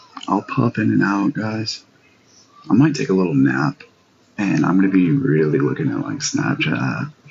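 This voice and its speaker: Over noticeable background noise, a man speaks at a moderate pace, his very deep, low pitch moving in very wide swings. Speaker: live streamer. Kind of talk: casual livestream chat. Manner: loud; energetic.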